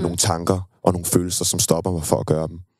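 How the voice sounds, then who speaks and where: A man talks with a very deep, low pitch. His intonation stays monotone and flat. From Denmark, Køge. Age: 20s. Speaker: singer. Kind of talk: interview.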